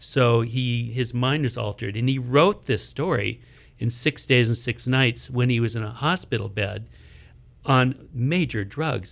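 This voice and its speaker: A man speaks at medium pitch with vocal fry. His pace is fairly slow. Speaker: ballet choreographer. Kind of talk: interview, talking about a ballet.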